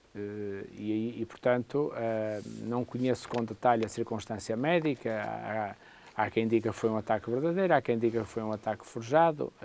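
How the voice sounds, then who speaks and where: A man's delivery is moderately paced, and his intonation is lively. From Portugal. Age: 50s. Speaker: political commentator. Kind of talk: political commentary. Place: studio. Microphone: lapel.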